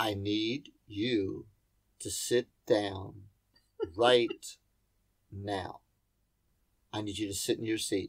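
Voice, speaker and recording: In a put-on character voice, a man speaks raspy and fairly low at a very slow pace with long, frequent pauses, on a very clean recording with a silent background. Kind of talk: commanding. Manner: stern, authoritative.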